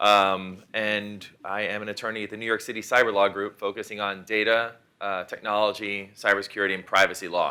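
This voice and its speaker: A man speaks at a fairly quick pace with hardly any pauses, his pitch fairly low. His tone is bright and sharp, and his intonation is monotone and flat. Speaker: technology lawyer, keynote speaker. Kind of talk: conference keynote presentation. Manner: fast.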